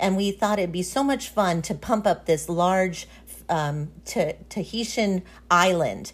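A woman's fairly low, unremarkable speaking voice at a fairly slow pace, with ordinary pitch variation. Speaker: podcast host. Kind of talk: casual interview chat. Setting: remote recording, audio call.

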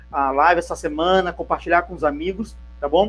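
This man speaks at a fairly quick pace. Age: 50s. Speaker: CRM consultant and interview host. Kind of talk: interview.

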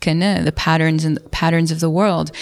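Using an ordinary speaking voice, a woman with an American accent talks at a moderate pace with a fairly low pitch. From New York City. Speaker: author and psychedelics researcher. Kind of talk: casual interview. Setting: at a conference in London.

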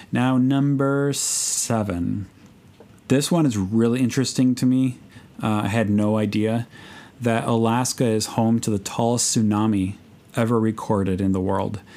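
Speaking at a moderate pace, a man has a medium pitch, a dark, mellow tone, fairly even intonation, and very even loudness. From US Midwest, Chicago. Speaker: podcast host, missionary bush pilot. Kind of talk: casual solo podcast talk.

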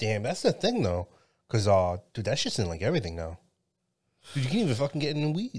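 On a very clean recording with a silent background, a man races along at a very fast pace with very wide pitch swings and long, frequent pauses. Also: medium pitch for a man. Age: 30s. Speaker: podcast host. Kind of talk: casual chat.

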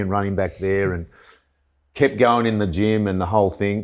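On a very clean recording with a silent background, a man talks at a fairly quick pace with fairly even intonation. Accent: Australian. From country Victoria, Australia. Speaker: former footballer and fitness coach. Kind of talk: casual chat.

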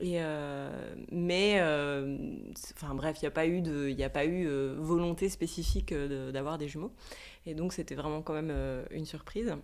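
A woman with a very deep, low voice talks at a fairly slow pace with ordinary pitch variation. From Switzerland. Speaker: yoga teacher. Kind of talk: interview. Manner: halting.

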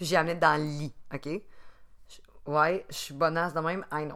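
A woman with a Quebec accent and a fairly low pitch on a very clean recording with a silent background. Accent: Québécois French. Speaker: podcast co-host. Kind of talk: casual chat.

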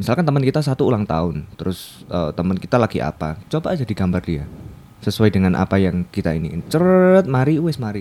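Speaking at a very fast pace, a man uses a fairly low pitch. His voice makes very wide pitch swings. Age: 20s. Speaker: designer. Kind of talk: casual chat. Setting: studio.

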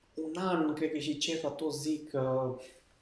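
A man's fairly high voice, very slow and fairly even in intonation, with audible room echo. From western Romania, Lipova near Arad. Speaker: wedding videographer. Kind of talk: casual interview chat.

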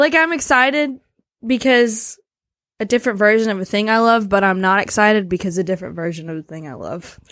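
A woman's plain, everyday voice with an American accent, fairly high in pitch, at a fairly quick pace with lively intonation and big swings in loudness. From US South. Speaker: podcast co-host. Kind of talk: casual chat.

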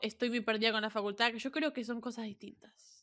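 A woman speaks with a Rioplatense accent. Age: 20s. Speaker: podcast co-host. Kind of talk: casual chat.

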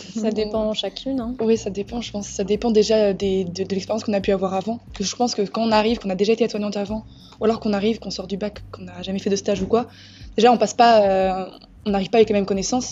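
Talking at a very fast pace, a woman keeps a monotone, flat intonation in a somewhat breathy voice. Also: medium pitch for a woman. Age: 20s. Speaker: nursing student. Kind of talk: casual chat.

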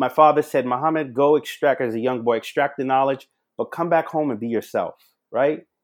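Against a very clean, silent background, a man with an American accent uses an ordinary speaking voice. His pitch is fairly high, his intonation fairly even, and his pace fairly quick. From Charleston, South Carolina. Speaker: national security expert. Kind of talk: podcast interview.

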